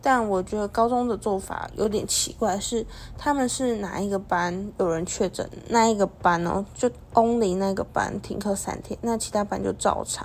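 A woman with an unremarkable speaking voice at a medium pitch and moderate pace, with fairly even intonation. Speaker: podcast host. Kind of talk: casual solo podcast talk.

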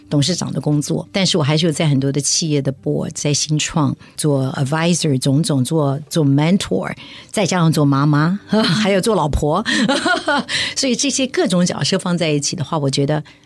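Noticeable background noise accompanies a woman with a very deep, low pitch who speaks at a moderate pace with very even loudness. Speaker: charity chairwoman, former tech executive. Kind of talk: interview.

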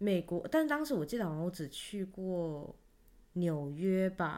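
A woman's fairly low voice moves through very wide pitch swings. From Taiwan. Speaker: podcast co-host. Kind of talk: casual chat.

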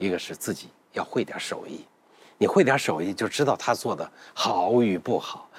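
At a moderate pace and medium pitch, a man speaks with very wide pitch swings and big swings in loudness. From northern Anhui (Huaibei). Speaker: food documentary maker. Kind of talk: casual roundtable chat.

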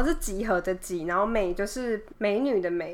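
A normal speaking voice from a woman, medium in pitch, with lively intonation. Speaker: podcast co-host. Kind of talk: casual chat.

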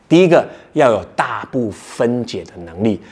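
A man with an unremarkable speaking voice, medium pitch, lively intonation and moderate pace. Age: 40s. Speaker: podcast host, startup founder. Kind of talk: solo podcast talk on workplace skills.

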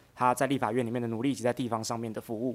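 On a very clean recording with a silent background, a man with a Taiwanese accent talks at a very fast pace. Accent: Taiwanese Mandarin. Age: 30s. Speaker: county councilor. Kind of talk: interview.

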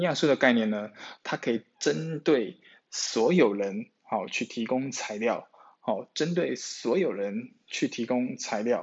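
A man with a Taiwanese accent, lively intonation and a fairly slow pace. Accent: Taiwanese Mandarin. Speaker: nutrition podcast host. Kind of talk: solo podcast talk on nutrition. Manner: heavy filler particles; repetitive, hesitant.

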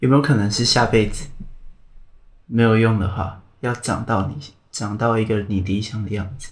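With long, frequent pauses, a somewhat breathy man speaks at a medium pitch with fairly even intonation in a room with audible echo. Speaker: podcast host. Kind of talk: casual interview chat. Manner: slow.

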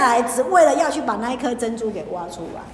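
A high-pitched woman's animated, fairly quick speech, with audible room echo and noticeable background noise. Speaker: pastor. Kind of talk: Bible study teaching. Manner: animated, mixing Hokkien and Mandarin.

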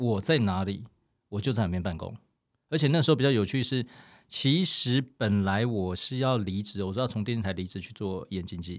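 A man's fairly low voice at a moderate pace with ordinary pitch variation, in a very clean recording with a silent background. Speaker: former artist manager, now insurance agent. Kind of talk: casual chat.

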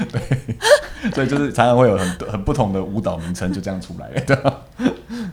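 Over noticeable background noise, the speaker uses lively intonation at a moderate pace. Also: man, medium pitch for a man. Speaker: ballroom and Latin dance teacher. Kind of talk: casual interview chat.

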